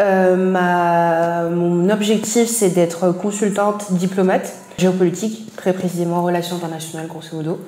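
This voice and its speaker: Over music in the background and with audible room echo, a woman at a medium pitch talks at a fairly slow pace in a monotone, flat intonation. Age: 20s. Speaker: marketing and branding professional. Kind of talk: interview. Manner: hesitant, many fillers.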